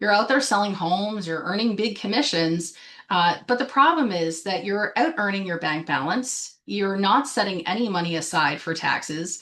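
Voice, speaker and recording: A woman speaks at a moderate pace and medium pitch with a Canadian accent, ordinary pitch variation, and a normal speaking voice. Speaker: business coach for realtors. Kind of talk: live webinar presentation. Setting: Facebook live stream. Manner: filler-heavy, um and uh.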